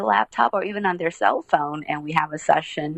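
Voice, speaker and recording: Dry and close with no echo yet over noticeable background noise, a woman speaks at a moderate pace with lively intonation. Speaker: author and therapist/coach. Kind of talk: podcast interview. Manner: conversational, uses fillers.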